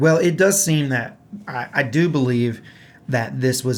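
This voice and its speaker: A man with a Southern US accent speaks at a medium pitch and a moderate pace, with ordinary pitch variation. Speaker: gaming podcast host and musician. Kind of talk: casual chat.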